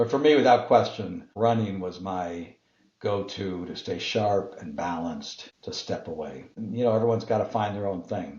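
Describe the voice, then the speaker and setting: Somewhat breathy speech at a moderate pace, with ordinary pitch variation and big swings in loudness. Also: man. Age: 60s. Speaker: business executive and author. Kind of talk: interview. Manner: halting.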